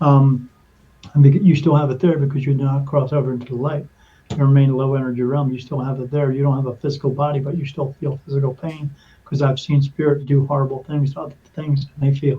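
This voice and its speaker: A somewhat breathy male voice, dark and mellow in tone, monotone and flat, at a very fast pace. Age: 50s. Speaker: spirit medium and podcast guest. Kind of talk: interview testimony. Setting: podcast interview. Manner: halting, with fillers and restarts.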